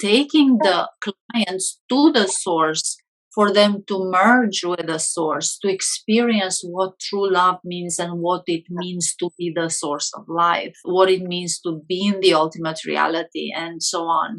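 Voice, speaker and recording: A woman with a Romanian accent speaks at a fairly slow pace in a fairly low pitch, with hardly any pauses. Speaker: hypnotherapist. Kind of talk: interview.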